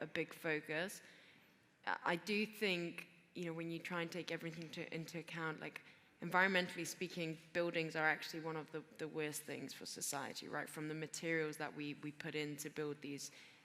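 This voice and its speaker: Her very deep, low voice has a bright, sharp tone as the woman talks at a fairly quick pace in a monotone, flat intonation. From Greece. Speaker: venture capital investor. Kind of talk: panel discussion. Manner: halting, many fillers and repeats.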